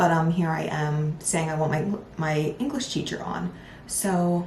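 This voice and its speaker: Over noticeable background noise and audible room echo, a woman with an American accent speaks at a fairly slow pace, with a fairly low pitch and ordinary pitch variation. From Philadelphia, US. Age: 20s. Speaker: podcast host and lifestyle content creator. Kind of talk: casual solo podcast talk. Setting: home recording with improvised mic setup. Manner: chatty, animated.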